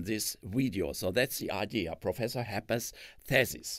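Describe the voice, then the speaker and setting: A man with a German accent speaks at medium pitch and a moderate pace. The recording is very clean, with a silent background. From Germany. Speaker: retired physics professor. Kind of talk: lecture. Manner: halting.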